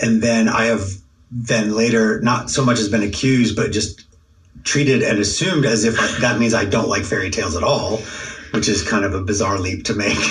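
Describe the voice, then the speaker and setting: With very even loudness and fairly even intonation, a man of medium pitch talks at a fairly quick pace over noticeable background noise. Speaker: podcast co-host, academic. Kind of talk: casual intellectual conversation.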